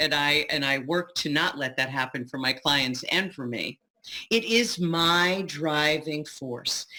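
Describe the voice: Speaking at a fairly slow pace, a woman with a low pitch uses lively intonation and a bright, sharp tone.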